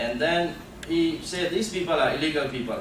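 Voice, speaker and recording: There is audible room echo and noticeable background noise. A man is speaking. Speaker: human rights activist. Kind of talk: panel talk. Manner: halting.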